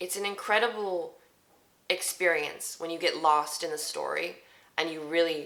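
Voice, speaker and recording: A woman's fairly low voice in a flat, monotone delivery. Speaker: voice actor. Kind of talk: casual talk to camera.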